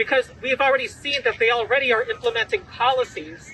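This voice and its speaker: A man with an extremely high pitch and very wide pitch swings speaks in a raised, projected voice at a fairly quick pace, with a dry sound, no echo, and light background noise. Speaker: activist attorney and organizer. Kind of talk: press conference speech. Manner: formal. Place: street. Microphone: podium.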